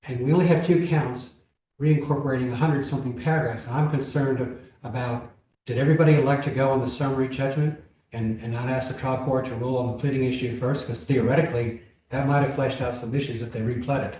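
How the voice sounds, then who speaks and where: In a room with audible echo, a man talks very fast at a medium pitch with fairly even intonation. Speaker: appellate judge. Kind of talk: courtroom oral argument questioning.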